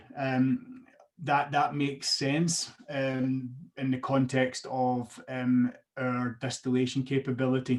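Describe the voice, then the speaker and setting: With a Scottish accent, a man speaks at a medium pitch in a monotone, flat intonation. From Scotland. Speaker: whisky brand ambassador. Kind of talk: guided online tasting presentation. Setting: video call.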